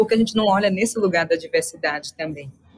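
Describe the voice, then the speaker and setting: Somewhat breathy and medium in pitch, a woman talks with ordinary pitch variation. She speaks at a very fast pace. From Salvador, Bahia, Brazil. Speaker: entrepreneur and innovation speaker. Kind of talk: interview.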